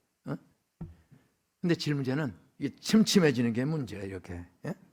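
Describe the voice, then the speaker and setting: The tone is animated. The pitch swings very widely. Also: man. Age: 70s. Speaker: retired pastor, guest preacher. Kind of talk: sermon. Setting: church. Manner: animated, conversational.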